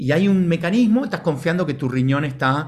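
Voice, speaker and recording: A man with lively intonation talks at a moderate pace, his voice somewhat breathy. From Argentina, Buenos Aires. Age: 40s. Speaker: ontological coach, organization director. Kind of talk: talk to online audience.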